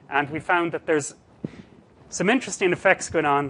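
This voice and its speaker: In a Cork accent, a man speaks with a bright, sharp tone, fairly high pitch and lively intonation. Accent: Cork Irish. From Ireland, Cork. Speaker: statistics researcher. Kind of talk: lecture.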